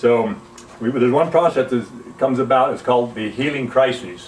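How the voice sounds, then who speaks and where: With a Western US accent, a man of medium pitch speaks at a moderate pace over noticeable background noise. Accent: American Western. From US, Utah (Salt Lake City). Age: 70s. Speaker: alkalinity health educator, Navy veteran. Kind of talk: informal health talk / product demonstration.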